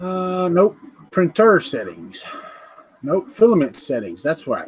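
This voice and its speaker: A man with a strong Southern US accent talks at a fairly slow pace, leaving long, frequent pauses. His high voice makes very wide pitch swings. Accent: thick Southern US. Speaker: 3D printing hobbyist co-host. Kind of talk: casual chat. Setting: live stream video call.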